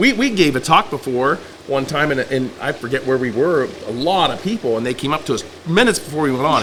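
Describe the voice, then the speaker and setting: A man talks at a very fast pace with lively intonation. Noticeable background noise runs behind him. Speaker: farm owner and blogger. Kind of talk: podcast interview. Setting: on location at the farm. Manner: loud.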